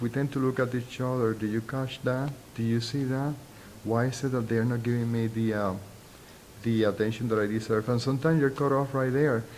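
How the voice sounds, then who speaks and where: Very even in loudness, a man at medium pitch talks at a fairly quick pace in a monotone, flat intonation. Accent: strong Spanish. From Puerto Rico. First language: Spanish. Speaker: sociology professor. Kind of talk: interview. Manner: halting.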